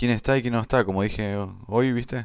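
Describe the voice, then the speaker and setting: At a moderate pace, a man with a Rioplatense accent speaks in a fairly low pitch with fairly even intonation. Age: 20s. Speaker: podcaster. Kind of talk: casual monologue. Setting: at home. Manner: halting.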